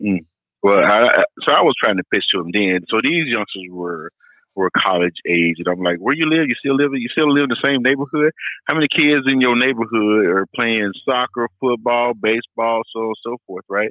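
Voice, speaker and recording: An ordinary speaking voice at a moderate pace. The intonation is lively. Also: man, medium pitch for a man. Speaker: caller. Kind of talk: casual chat. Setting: phone call.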